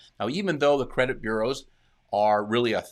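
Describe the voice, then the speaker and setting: A man talks at a medium pitch. The recording is very clean and the background silent. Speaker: consumer credit expert, live Q&A host. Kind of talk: live stream Q&A explanation. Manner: fast.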